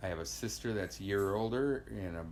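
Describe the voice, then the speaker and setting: Audible room echo surrounds a man's fairly low voice. He speaks at a moderate pace in an American accent. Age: 60s. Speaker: immigrant interviewee. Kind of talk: interview storytelling. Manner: halting, many fillers.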